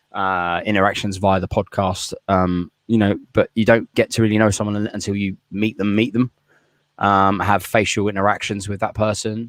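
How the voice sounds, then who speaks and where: A man with a British accent speaks in a flat monotone, captured dry and close with no echo in a very clean recording with a silent background. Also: moderate pace. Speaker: podcast host. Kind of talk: casual chat. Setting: garden shed. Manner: loud; high energy.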